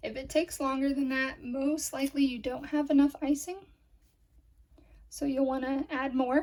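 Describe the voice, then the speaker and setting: This woman has a high pitch. She speaks at a fairly slow pace. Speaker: cookie decorating instructor. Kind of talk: tutorial. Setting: virtual class. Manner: casual, conversational.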